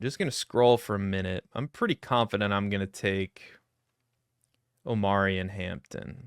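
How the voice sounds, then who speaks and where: Recorded very clean with a silent background and a dry, close sound with no echo, a man speaks at a moderate pace in a fairly low pitch, with ordinary pitch variation and long, frequent pauses. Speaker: fantasy football podcast host. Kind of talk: solo live mock draft commentary. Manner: casual, rambling.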